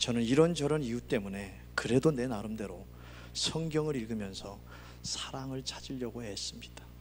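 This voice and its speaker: A man talks at a moderate pace with a slight Gangwon accent. His loudness swings widely, and the room echo is audible. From Gangwon Province, Korea. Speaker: pastor. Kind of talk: sermon.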